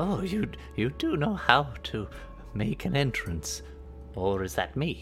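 With clear music in the background, a man does a squeaky put-on character voice at a medium pitch, speaking at a fairly slow pace with long, frequent pauses.

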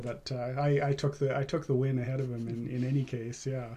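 Somewhat breathy, a man talks at a moderate pace. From Vancouver, Canada. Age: 30s. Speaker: competitive cyclist. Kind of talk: interview. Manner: halting, many fillers.

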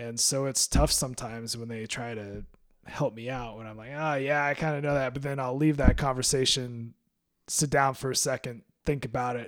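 A man speaks in an ordinary speaking voice at a medium pitch, moderate pace and fairly even intonation. His loudness swings widely on a very clean recording, silent background. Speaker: podcast host. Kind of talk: casual interview chat.

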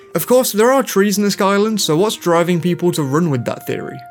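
An enthusiastic male voice with lively intonation over music in the background. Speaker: gaming YouTuber. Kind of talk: scripted video commentary. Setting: video channel voiceover. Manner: casual, enthusiastic.

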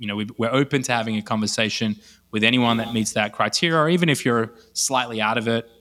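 A man with an Australian accent talks at a very fast pace in a medium pitch and a bright, sharp tone, on a very clean recording with a silent background. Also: ordinary pitch variation. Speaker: e-commerce entrepreneur. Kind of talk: podcast interview.

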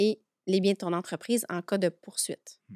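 Delivered at a fairly slow pace with ordinary pitch variation, the speech has a dry, close sound with no echo in a very clean recording with a silent background. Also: woman. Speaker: notary. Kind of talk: podcast interview.

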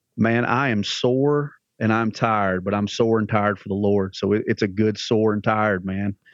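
A man speaks with a Southern US accent at a moderate pace. His pitch is fairly low and his intonation fairly even. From Alabama. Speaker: church pastor. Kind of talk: casual podcast interview.

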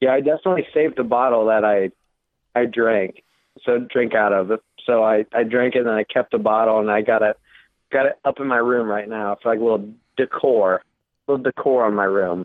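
A man with an ordinary speaking voice at a medium pitch, fairly quick pace, fairly even intonation and very even loudness. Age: 20s. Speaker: college student. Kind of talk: casual chat. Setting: phone call.

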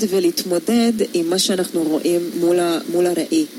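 Noticeable background noise sits behind a woman with a Hungarian accent. Her voice is medium in pitch and her pace is moderate. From Hungary. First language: Hungarian (speaking Hebrew). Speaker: photographer. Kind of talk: radio interview. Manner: hesitant, many fillers.

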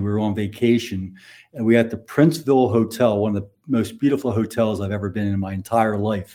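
Over a silent background in a very clean recording, a man with a dark, mellow tone speaks fairly quickly at a medium pitch with fairly even intonation. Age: 60s. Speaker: financial advisor. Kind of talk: casual interview, storytelling.

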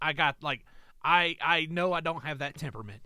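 Very clean and recorded against a silent background, the voice has a bright, sharp tone and a fairly quick pace. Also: man. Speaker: podcast co-host. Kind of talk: casual chat. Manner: loud; intense.

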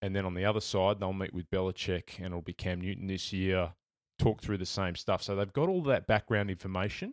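A man with an Australian accent and a very deep, low pitch speaks at a fairly quick pace with fairly even intonation, in a dry, close sound with no echo on a very clean recording with a silent background. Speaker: sports journalist. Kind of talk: casual chat.

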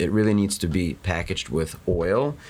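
A man's fairly low-pitched, plain, everyday voice at a moderate pace. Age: 40s. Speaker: dermatologist. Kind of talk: interview. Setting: studio.

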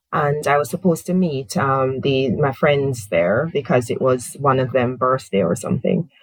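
A woman speaks in a very deep, low voice that is somewhat breathy. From Jamaica. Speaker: professor. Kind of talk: interview.

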